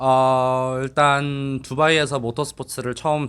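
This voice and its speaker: The speaker is a man with a non-native accent. He talks at a medium pitch. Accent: non-native Korean. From Dubai. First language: English (speaking Korean). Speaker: car mechanic and tuner. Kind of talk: interview. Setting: dyno room. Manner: halting.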